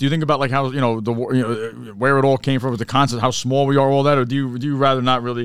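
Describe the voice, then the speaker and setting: Speaking at a very fast pace, a man uses an animated tone at a medium pitch. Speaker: podcast co-host. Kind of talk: casual banter. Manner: animated, swears often.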